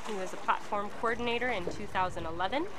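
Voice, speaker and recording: With an American accent, a woman speaks at a fairly quick pace and medium pitch, her intonation fairly even, amid audible room echo and noticeable background noise. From United States. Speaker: livestream host and commentator. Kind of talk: live commentary and interview.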